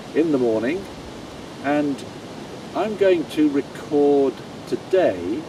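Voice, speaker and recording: Amid noticeable background noise, a man with a fairly high voice speaks very slowly with lively intonation. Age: 70s. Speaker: fitness trainer. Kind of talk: casual talk to camera during workout.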